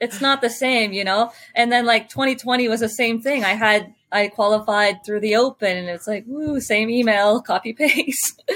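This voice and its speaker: A woman with an American accent talks with hardly any pauses. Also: ordinary pitch variation, moderate pace. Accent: sounds American rather than Canadian. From Ontario, Canada (Sarnia). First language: French. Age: 30s. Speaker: CrossFit athlete. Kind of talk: interview. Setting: video call.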